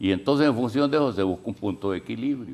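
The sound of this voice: Lively intonation marks a man's fairly low voice. The tone is slightly mellow, with vocal fry.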